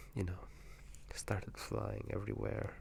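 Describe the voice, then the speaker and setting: Whispering at a fairly slow pace. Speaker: video game commentator. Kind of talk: ASMR whispered gaming commentary. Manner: whispered, soft-spoken.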